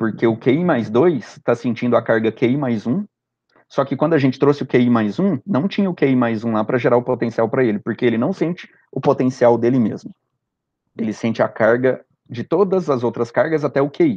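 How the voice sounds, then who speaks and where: This man's voice has a dark, mellow tone at medium pitch. He moves at a fairly quick pace with ordinary pitch variation. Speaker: physics teacher. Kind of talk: lecture. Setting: recorded remote class with screen share.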